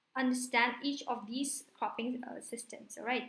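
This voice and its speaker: In a room with audible echo, a woman talks at a high pitch. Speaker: online exam tutor. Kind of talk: lecture.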